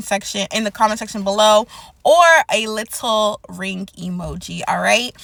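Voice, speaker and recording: At a moderate pace, a woman talks in an unremarkable speaking voice with a fairly high pitch. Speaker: prophetic word YouTuber. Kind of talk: prophetic encouragement monologue.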